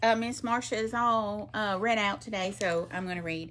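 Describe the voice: Someone does plain reading aloud, the pitch rising and falling in an ordinary way.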